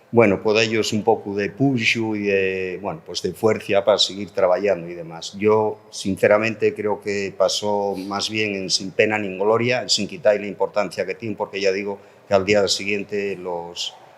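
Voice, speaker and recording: A man speaks at a fairly slow pace in a normal speaking voice. His pitch is fairly low, with fairly even intonation. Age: 60s. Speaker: politician, language policy spokesperson. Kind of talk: panel debate. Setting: public round table with audience.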